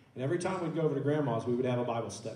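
A man with an Oklahoma accent and ordinary pitch variation, amid audible room echo. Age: 30s. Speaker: church elder. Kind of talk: church panel discussion. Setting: church. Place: church. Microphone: handheld.

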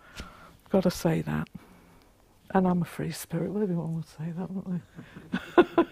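A woman's fairly low, monotone voice with vocal fry, flat intonation and a dry sound with no echo. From London. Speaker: author and local historian. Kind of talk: mythic history narration, solemn storytelling of ancient tribes and the massacre. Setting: talk to a live audience. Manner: earnest, reverent, measured; passionate, rousing. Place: classroom.

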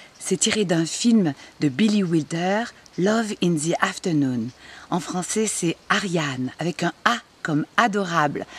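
Speaking at a very slow pace, a woman uses a fairly low pitch and lively intonation, the sound dry with no echo. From Marseille. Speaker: actress. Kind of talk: interview answer. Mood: nostalgic, enthusiastic. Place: garden.

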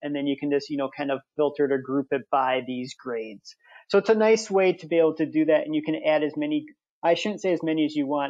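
A very fast American accent with ordinary pitch variation. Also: man, fairly high pitch for a man. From Wisconsin. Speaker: software demo presenter. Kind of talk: tutorial.

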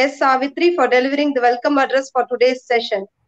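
The background stays quiet. Words come at a fairly quick pace. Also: woman. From India. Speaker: research dean. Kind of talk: vote of thanks. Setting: video call. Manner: formal. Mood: polite, formal. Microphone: webcam.

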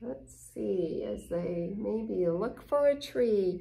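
A woman speaks slowly at a medium pitch, her dark, mellow tone carrying vocal fry and lively intonation, with audible room echo around her.

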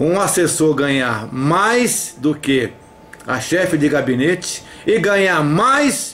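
A loud man with very wide pitch swings. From Brazil. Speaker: activist denouncing a councilman. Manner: loud, insistent, indignant; repeatedly addresses the councilman by name, pleading and accusing. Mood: indignant, accusatory. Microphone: headset.

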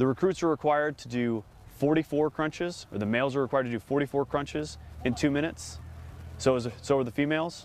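Talking at a fairly quick pace, a man with a fairly high pitch uses ordinary pitch variation, and the sound is dry with no echo. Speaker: Marine officer, company commander. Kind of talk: explanatory interview. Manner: formal, measured, informative. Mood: calm, matter-of-fact. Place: open country. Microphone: lapel.

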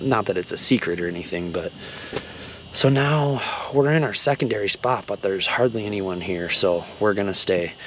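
A fairly low-pitched man talks at a moderate pace, with light background noise and a dry sound with no echo. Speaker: angler vlogger. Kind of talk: casual vlog chat. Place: tent. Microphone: phone near.

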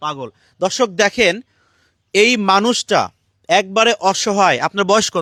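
In a very clean recording with a silent background and a dry, close sound free of echo, a man projects a raised, high-pitched voice with a bright, sharp tone. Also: ordinary pitch variation. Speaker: charity vlogger. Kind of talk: on-location charity video interview.

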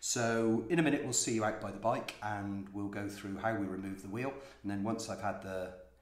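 With audible room echo, a man speaks at a moderate pace in a fairly low pitch with fairly even intonation. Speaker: vlogger. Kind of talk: tutorial. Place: home room. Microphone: phone near.

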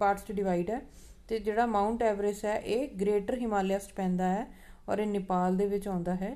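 Her tone dark and mellow, a woman talks at a moderate pace and medium pitch, her pitch barely moving.

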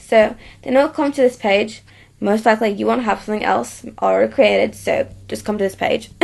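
A woman with an Australian accent at a fairly quick pace, with big swings in loudness. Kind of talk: software tutorial narration. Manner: casual, hesitant.

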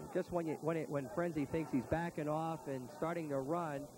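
With noticeable background noise and a dry sound with no echo, a man speaks at a moderate pace with ordinary pitch variation. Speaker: color commentator. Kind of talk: sports commentary.

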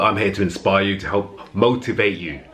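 Light background noise sits behind a man's voice. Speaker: fitness vlogger. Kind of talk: casual vlog chat. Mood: earnest, motivational. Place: home room. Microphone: phone near.

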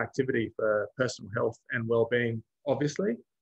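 A man speaks at a fairly quick pace. His voice is somewhat breathy against a quiet background. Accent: Australian. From Australia. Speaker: road safety researcher; presenter. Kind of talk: webinar presentation. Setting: video call. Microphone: video call.

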